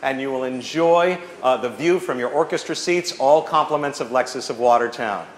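Audible room echo around fairly quick speech with ordinary pitch variation. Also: man. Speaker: auctioneer. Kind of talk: scripted item pitch to audience. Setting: live event hall, PA system. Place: hall. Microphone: camera far.

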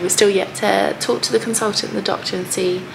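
This is a woman speaking. Noticeable background noise can be heard behind her. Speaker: parent vlogger. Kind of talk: casual vlog chat. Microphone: phone near.

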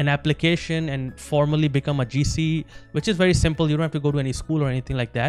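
A man's fairly even intonation, dry sound with no echo, and faint music in the background. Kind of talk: casual vlog chat. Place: home room. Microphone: handheld.

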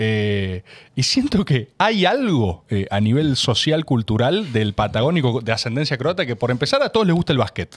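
A man talks at a moderate pace with very wide pitch swings over a quiet background. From Buenos Aires, Argentina; Argentina. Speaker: podcast host. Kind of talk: casual interview chat. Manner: talkative. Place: studio. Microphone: studio mic.

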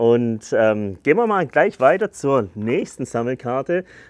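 A man at a fairly slow pace, dry sound with no echo, quiet background. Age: 30s. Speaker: YouTuber presenting carnivorous plants. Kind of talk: casual video presentation. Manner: casual, filler-heavy. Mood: cheerful, enthusiastic. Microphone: lapel.

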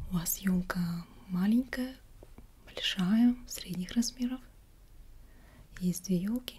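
Soft-spoken, a woman talks at a very slow pace. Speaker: shop seller role-play. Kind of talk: soft role-play shop talk. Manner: soft, quiet ASMR voice. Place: home room. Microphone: webcam.

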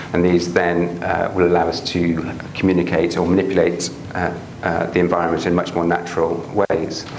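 Light background noise and audible room echo sit behind a man with a very deep, low voice. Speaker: professor and researcher. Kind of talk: academic seminar lecture. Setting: lecture hall with audience. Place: classroom.

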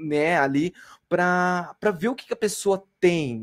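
A man with a high voice. His pitch varies in an ordinary way. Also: quiet background. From interior of Paraná, Brazil. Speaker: bioinformatics researcher giving a talk; lecturer. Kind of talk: lecture. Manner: halting. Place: home room.

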